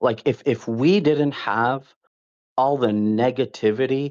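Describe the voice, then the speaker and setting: Against a quiet background, a man speaks at a fairly slow pace and a medium pitch, with ordinary pitch variation. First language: not English. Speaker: caller, gamer. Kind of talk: casual chat. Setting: voice call. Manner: animated.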